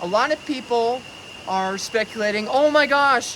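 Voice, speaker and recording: Against noticeable background noise, a man with a high pitch speaks in a raised, projected voice. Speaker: bitcoin finance commentator. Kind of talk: vlog commentary. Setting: outdoors in jungle. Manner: loud.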